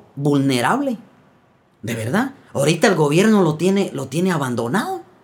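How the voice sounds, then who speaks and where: A man speaks in a Guatemalan accent, his pitch swinging very widely. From Guatemala, Quetzaltenango / San Felipe Retalhuleu. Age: 40s. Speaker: folk singer-songwriter. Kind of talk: casual chat. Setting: in-person studio recording.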